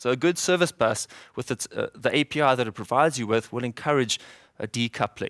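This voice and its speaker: A man with a South African accent talks very fast at a medium pitch with lively intonation, recorded close and dry with no echo against a silent, very clean background. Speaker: software developer, conference speaker. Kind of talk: conference talk. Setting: stage with audience. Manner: fast when excited.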